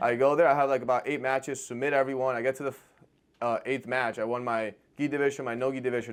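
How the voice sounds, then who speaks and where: Very fast and flatly monotone, a man with a Spanish accent speaks at a medium pitch in a very clean recording with a silent background. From Argentina. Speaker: jiu-jitsu competitor. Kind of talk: casual interview chat.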